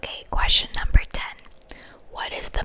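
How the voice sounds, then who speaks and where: A woman whispering amid noticeable background noise. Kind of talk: ASMR quiz video talking to camera.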